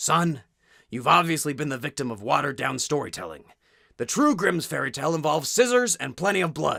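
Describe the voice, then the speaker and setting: In a put-on character voice with lively intonation, the speaker moves at a fairly quick pace on a very clean recording with a silent background. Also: man, fairly high pitch for a man. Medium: solo performance.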